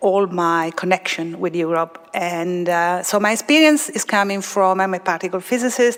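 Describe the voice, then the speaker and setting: A woman speaks with an Italian accent at a moderate pace. Noticeable background noise is present. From Italy. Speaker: particle physicist. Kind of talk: panel discussion. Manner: halting, many fillers.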